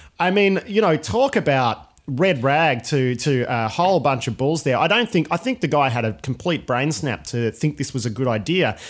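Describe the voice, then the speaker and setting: A man with an Australian accent talks at a moderate pace and a fairly high pitch. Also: lively intonation, hardly any pauses. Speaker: podcast host. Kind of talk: casual chat.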